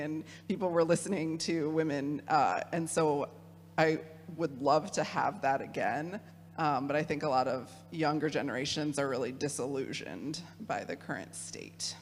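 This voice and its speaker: A woman with a Midwestern accent speaks at a very deep, low pitch and moderate pace, with vocal fry and ordinary pitch variation. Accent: Midwest. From Michigan. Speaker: theologian, youth program director. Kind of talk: talk with audience discussion.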